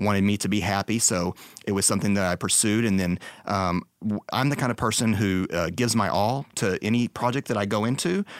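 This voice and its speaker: A man with an American accent has an unremarkable speaking voice, fairly low in pitch. He talks at a fairly quick pace with fairly even intonation, on a very clean recording with a silent background. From Texas. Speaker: architectural photographer. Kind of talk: casual interview.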